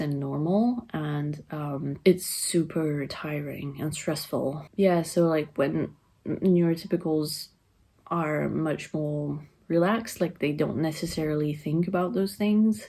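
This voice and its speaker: Speaking with a French accent at a fairly slow pace, a woman has a very deep, low pitch and a dark, mellow tone. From France. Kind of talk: personal vlog monologue. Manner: monotone; flat affect.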